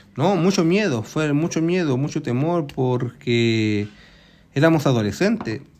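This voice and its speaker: A man has a normal speaking voice with a fairly high pitch. He talks at a fairly slow pace with lively intonation. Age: 60s. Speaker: retiree, eyewitness to history. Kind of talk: interview.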